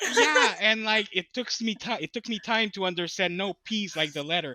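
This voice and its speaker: A man speaks at a moderate pace with a French accent. His raised, projected voice sits high in pitch. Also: ordinary pitch variation. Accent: charming French. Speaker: podcast host, guest. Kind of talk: casual chat.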